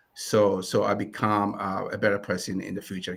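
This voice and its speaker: A man speaks with a Ghanaian accent. His pace is moderate. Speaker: community lender CEO. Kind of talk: interview.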